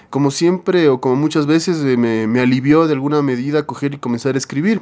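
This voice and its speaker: A man's fairly high voice at a very fast pace, with very even loudness. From Ecuador, Quito. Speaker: rock band singer and guitarist. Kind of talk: interview storytelling.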